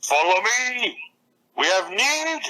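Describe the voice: Fairly high in pitch, the put-on character voice swings very widely up and down.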